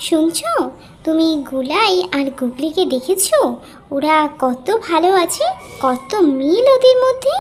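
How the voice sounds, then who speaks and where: Cartoonish character voice, female-sounding and extremely high in pitch, at a fairly slow pace. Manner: sly, wheedling.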